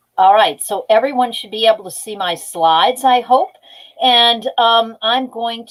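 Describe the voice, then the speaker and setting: A woman's fairly high voice, a normal speaking voice, moves along at a moderate speed. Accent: American. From US Northeast, Long Island, New York. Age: 60s. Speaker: environmental engineering professor. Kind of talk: educational talk. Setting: video call.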